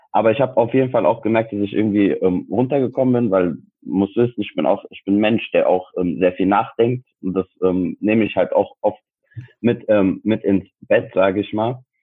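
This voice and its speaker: In an ordinary speaking voice, a man talks at a fairly low pitch and a moderate pace. His intonation is fairly even. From Frankfurt, Germany. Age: 20s. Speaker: sports science student and personal trainer. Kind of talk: casual interview chat.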